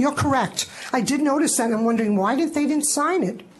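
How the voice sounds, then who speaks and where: A woman speaks with ordinary pitch variation. Noticeable background noise and audible room echo fill the recording. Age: 60s. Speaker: licensee appealing to licensing board. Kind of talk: public testimony at board meeting. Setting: public board meeting.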